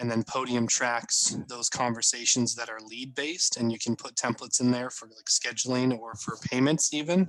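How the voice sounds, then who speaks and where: A man talks in a normal speaking voice, at medium pitch and moderate tempo, his intonation fairly even. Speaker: marketing trainer. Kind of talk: presentation.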